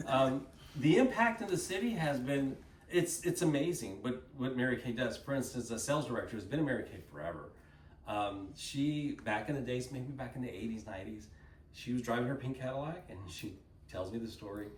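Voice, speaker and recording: Here a man speaks at a medium pitch and a fairly quick pace. His intonation is lively, and room echo is audible. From Texas, Dallas. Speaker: company speaker at a sales event. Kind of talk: motivational talk to an audience. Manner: animated.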